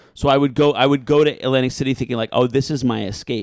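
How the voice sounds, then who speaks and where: Talking at a fairly quick pace with fairly even intonation, a man with an American accent has a normal speaking voice. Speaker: stand-up comedian. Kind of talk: casual chat. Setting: podcast recording.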